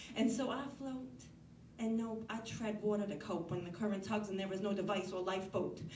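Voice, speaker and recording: Against noticeable background noise, a woman with an American accent talks at a fairly quick pace and a medium pitch, with ordinary pitch variation. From Northeastern US. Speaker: slam poet. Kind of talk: slam poetry performance.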